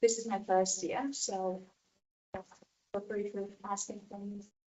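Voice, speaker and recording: Here a woman speaks with a Latvian accent. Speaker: event organiser. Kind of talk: public presentation. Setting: council meeting. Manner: hesitant, many fillers.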